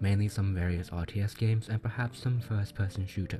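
Music plays in the background while a man talks at a moderate pace. His fairly low voice shows ordinary pitch variation. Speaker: gaming channel host. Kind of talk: casual talk to camera.

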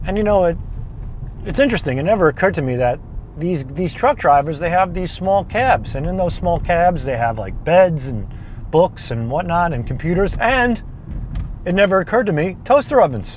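A man's voice with very wide pitch swings, dry with no echo, over light background noise. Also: moderate pace. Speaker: cooking show host. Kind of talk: casual vlog chat. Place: car. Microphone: lapel.

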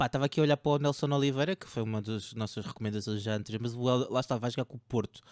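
On a very clean recording with a silent background, a man speaks very fast with hardly any pauses. His medium-pitched voice shows ordinary pitch variation. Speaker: fantasy football podcast host. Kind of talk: casual chat about fantasy football tips. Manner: joking, informal.

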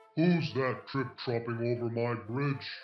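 A man bellows in a put-on character voice at a medium pitch. His pace is fairly slow, with faint music in the background. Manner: roaring.

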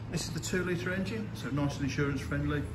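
A man talks at a moderate tempo while noticeable background noise plays. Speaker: car salesperson. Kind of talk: sales walkaround commentary. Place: shop. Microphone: phone near.

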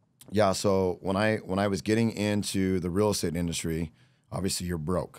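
Against a quiet background, a man with a very deep, low pitch speaks at a moderate pace with fairly even intonation in a dry sound with no echo. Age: 40s. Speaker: real estate coach. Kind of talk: casual interview chat. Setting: podcast recorded during bike week. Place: studio. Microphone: studio mic.

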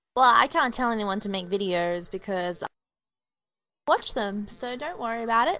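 A quiet woman's voice with a fairly bright tone at a moderate pace.

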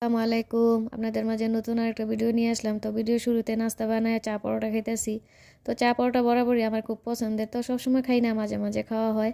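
A dark, mellow tone in monotone, flat intonation on a very clean recording with a silent background. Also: woman, fairly high pitch for a woman. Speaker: lifestyle vlogger. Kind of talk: vlog narration. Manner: casual conversational.

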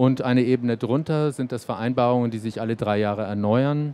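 Light background noise sits under a dry sound with no echo. The speaker keeps a moderate pace and fairly even intonation. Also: man. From Germany, Erlangen (Franconia); Franconia, Germany. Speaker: cultural institute music director; panelist. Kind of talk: panel discussion. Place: hall. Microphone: handheld.

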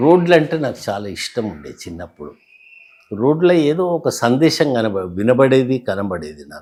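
Medium-pitched with a dark, mellow tone, a man's voice makes very wide pitch swings. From Hyderabad Old City, Telangana, India. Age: 70s. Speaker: author and retired tax officer. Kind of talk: interview.

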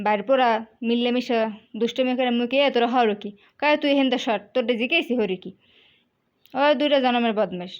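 A high-pitched woman with a Barisal accent and ordinary pitch variation. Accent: Barisal regional dialect. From Barisal, Bangladesh. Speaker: lifestyle vlogger. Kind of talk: casual travel vlog narration. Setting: outdoors by a river, travelling.

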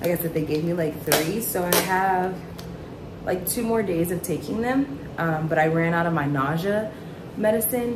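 A woman's fairly low-pitched voice comes through with noticeable background noise. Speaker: vlogger. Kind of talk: casual vlog chat. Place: kitchen. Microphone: phone near.

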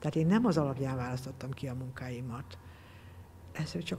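A woman talks at a moderate pace with a very deep, low pitch. Her tone is somewhat breathy and dark, mellow, with light background noise. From Hungary, Balmazújváros (Great Plain); Hungary. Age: 60s. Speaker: textile artist. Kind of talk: interview. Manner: halting. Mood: reflective, warm. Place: hall.

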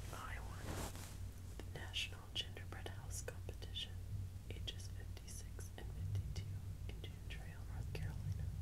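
Loud background noise fills the clip. Through it, a woman speaks at a moderate pace. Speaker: ASMR creator. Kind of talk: whispered reading aloud, ASMR magazine reading. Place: home room.

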